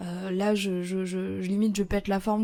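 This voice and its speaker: A woman speaks at a moderate pace. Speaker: entrepreneur and podcaster. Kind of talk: casual podcast monologue. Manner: hesitant, many fillers and repetitions.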